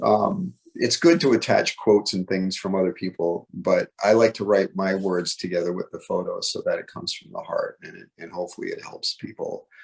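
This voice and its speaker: Barely pausing, a man speaks at a fairly quick pace with big swings in loudness. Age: 60s. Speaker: photographer and author in recovery. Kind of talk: interview. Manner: fast; halting.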